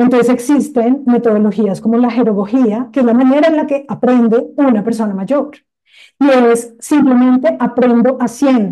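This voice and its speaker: A woman speaks at a high pitch with a dark, mellow tone. Her loudness stays very even and her intonation fairly even. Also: moderate pace. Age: young. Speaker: industrial designer and social entrepreneur. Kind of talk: interview conversation.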